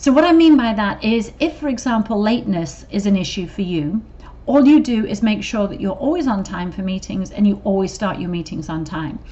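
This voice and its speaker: Against noticeable background noise, a woman with an English accent talks at a fairly quick pace, her pitch swinging very widely. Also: medium pitch for a woman. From England. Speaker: corporate trainer. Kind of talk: training video. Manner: casual, with fillers.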